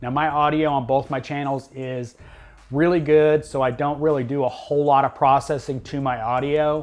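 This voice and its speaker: A man speaks in a fairly high monotone with flat intonation. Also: moderate pace. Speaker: tech YouTuber. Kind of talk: tutorial. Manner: loud.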